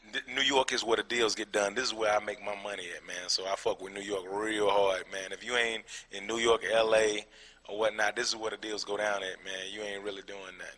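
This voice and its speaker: Noticeable background noise sits under a man's fairly low voice, which stays monotone and flat. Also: big swings in loudness. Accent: American. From Atlanta, Georgia (Decatur), US South. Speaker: comedian. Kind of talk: interview. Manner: casual, filler-heavy (um, you know what I'm saying).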